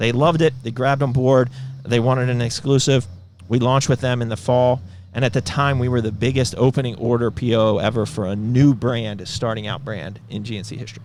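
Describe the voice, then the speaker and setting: Speaking at a fairly quick pace, a man is heard. His voice rests at a medium pitch. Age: 40s. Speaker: supplement company founder and podcast host. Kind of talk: casual business podcast chat. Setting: company headquarters. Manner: animated.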